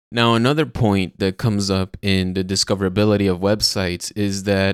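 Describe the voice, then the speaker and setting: A man speaks in a fairly low voice with a Spanish accent. The sound is dry and close, with no echo. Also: very clean recording, silent background. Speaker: podcast host, software developer. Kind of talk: casual technical chat.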